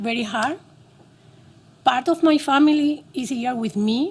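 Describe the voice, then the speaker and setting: A woman speaks in a Cuban accent at a moderate pace. Her pitch variation is ordinary. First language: Spanish. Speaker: doctor. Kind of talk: testimony.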